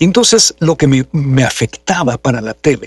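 Against a quiet background, a man with a somewhat breathy voice speaks at a moderate pace with lively intonation, the sound dry with no echo. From Mexico. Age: 60s. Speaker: voice actor and announcer; voice actor, announcer. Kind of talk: interview conversation. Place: home room. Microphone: studio mic.

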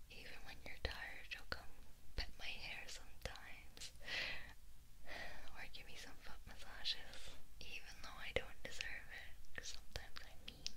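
Someone whispers at a moderate pace with long, frequent pauses. Loud background noise runs underneath. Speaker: ASMR roleplay voice actor. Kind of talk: roleplay monologue to listener. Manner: tender close whisper.

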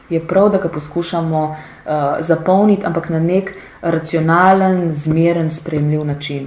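Audible room echo surrounds a woman speaking at a fairly low pitch with fairly even intonation. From Slovenia. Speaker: politician. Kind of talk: interview. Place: studio.

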